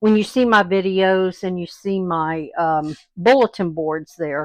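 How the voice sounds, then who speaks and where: A woman in a Southern US accent speaks very slowly, her medium-pitched voice showing lively intonation. The sound is dry and close with no echo. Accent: southern US twang. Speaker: craft video host. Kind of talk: tutorial. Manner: casual, chatty with fillers.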